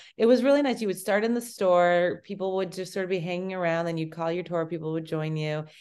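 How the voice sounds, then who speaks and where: Very fast, fairly low-pitched speech from a woman, with ordinary pitch variation and hardly any pauses. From Brookline, Massachusetts. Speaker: former TV network page. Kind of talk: casual interview chat.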